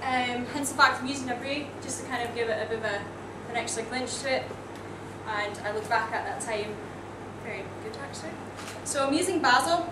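A woman with a Scottish accent speaks at a fairly quick pace but leaves long, frequent pauses, with noticeable background noise behind her. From Netherlands and US, lives in Scotland. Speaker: bartender. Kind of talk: presentation demonstrating a cocktail. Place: bar. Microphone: camera far.

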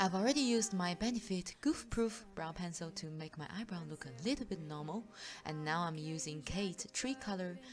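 Lively intonation from a woman with a fairly low pitch at a moderate pace, music in the background. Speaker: makeup tutorial creator. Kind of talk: makeup tutorial voiceover.

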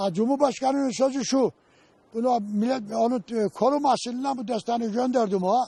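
This man's pitch is extremely high, with a dark, mellow tone. His intonation stays fairly even at a moderate pace. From Rize, Turkey. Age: 70s. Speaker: beekeeper. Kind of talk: interview answer.

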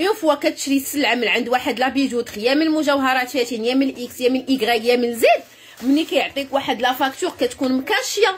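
A woman with a Moroccan accent speaks at a fairly quick pace and high pitch, with lively intonation and hardly any pauses. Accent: Moroccan Darija with French loanwords. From Morocco. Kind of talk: live-stream sales pitch. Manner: animated. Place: shop. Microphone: phone near.

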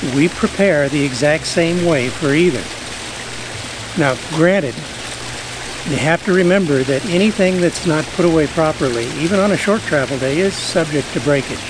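Long, frequent pauses break up a man's speech, with ordinary pitch variation and very even loudness. The sound is dry with no echo, but background noise is noticeable. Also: moderate pace. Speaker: RV travel vlogger. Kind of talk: casual vlog chat. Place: garden.

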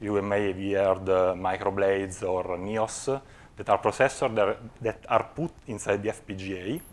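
This man has an Italian accent. He talks at a fairly slow pace with fairly even intonation. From Italy. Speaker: physics researcher; conference presenter. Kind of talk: conference talk. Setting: stage with audience. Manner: halting, many filler sounds. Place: hall.

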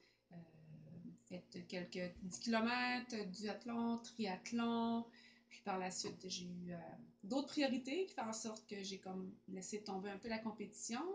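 At a very slow pace, a woman speaks in a somewhat breathy, medium-pitched voice with ordinary pitch variation over light background noise. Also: long, frequent pauses. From Quebec. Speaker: amateur athlete. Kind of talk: testimonial. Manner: hesitant. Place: home room. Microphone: camera far.

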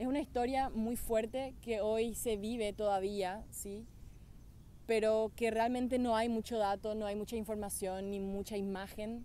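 In a Paraguayan accent, a woman speaks fairly slowly with a fairly high pitch, a dark, mellow tone and monotone, flat intonation, in a dry sound with no echo and light background noise. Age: 20s. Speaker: beauty pageant winner. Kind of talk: testimonial talk to camera. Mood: reflective, heartfelt. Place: forest. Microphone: phone near.

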